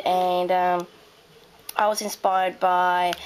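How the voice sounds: Croaky and medium in pitch, a woman speaks with an Australian accent.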